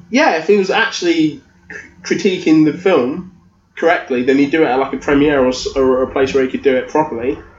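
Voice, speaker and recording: The man's fairly high voice moves at a fairly quick pace, with ordinary pitch variation, while noticeable background noise sits behind it. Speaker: podcaster, guest co-host. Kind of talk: casual chat.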